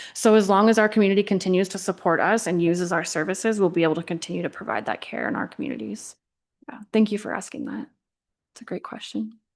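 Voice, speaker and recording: Against a quiet background, a woman speaks very fast with vocal fry and big swings in loudness. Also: medium pitch for a woman, ordinary pitch variation. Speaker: hospital district executive. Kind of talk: presentation. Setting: council meeting with audience.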